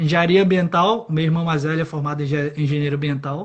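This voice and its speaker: At a very fast pace, a man talks with a fairly high pitch and fairly even intonation. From Brazil, Pará (mixed accent from company town). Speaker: electrical engineer. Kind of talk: interview.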